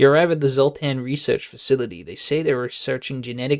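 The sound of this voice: The voice heard is an unforced reading voice.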